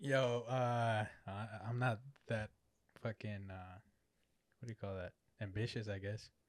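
Pausing long and often, a man with an American accent speaks at a fairly slow pace with a fairly low pitch and fairly even intonation. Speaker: photographer. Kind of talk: casual chat.

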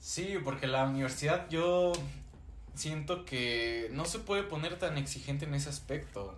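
Audible room echo surrounds a man's voice. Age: 19, turning 20. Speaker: university student podcast co-host. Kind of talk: casual chat.

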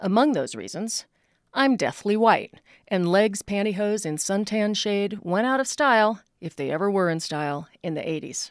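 A woman with a medium pitch has an unremarkable speaking voice and lively intonation. She speaks at a moderate pace in a very clean recording with a silent background. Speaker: commentator. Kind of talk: personal essay read aloud.

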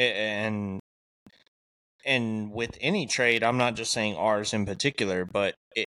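A man with a plain, everyday voice speaks at a medium pitch and a fairly slow pace. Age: 30s. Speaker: podcast co-host and tradesman. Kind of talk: casual chat.

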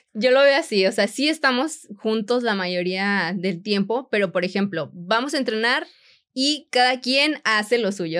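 On a very clean recording with a silent background, a woman with an ordinary speaking voice talks at a fairly high pitch and a fairly slow pace, using lively intonation. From Mexico, Monterrey. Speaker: sports nutritionist and content creator. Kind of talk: interview conversation.

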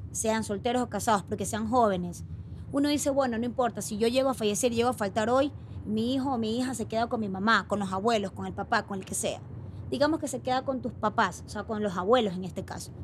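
A woman speaks at a fairly quick pace and a fairly high pitch, with ordinary pitch variation. Vocal fry runs through her voice. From Ecuador, Guayaquil. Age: 30s. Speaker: insurance broker co-founder. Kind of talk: interview.

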